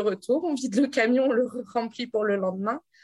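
A woman with an unremarkable speaking voice, a moderate pace and ordinary pitch variation. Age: 30s. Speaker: traveling grocer, former ecology researcher. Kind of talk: interview.

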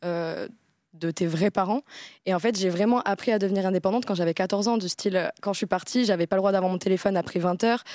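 Recorded very cleanly against a silent background with a dry, close sound and no echo, a woman speaks fairly quickly at a medium pitch, her loudness very even and her pitch varying in an ordinary way. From south-west France, Bayonne. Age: 20s. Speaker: content creator. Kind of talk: casual chat.

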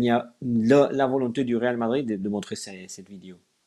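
A man with a Spanish accent, a dark, mellow tone and ordinary pitch variation. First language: Spanish (speaking French). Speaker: sports journalist. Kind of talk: live stream interview. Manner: halting.

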